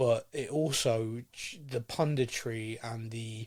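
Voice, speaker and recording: A man's somewhat breathy, medium-pitched voice on a very clean recording with a silent background. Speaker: football podcast host. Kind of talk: casual podcast discussion.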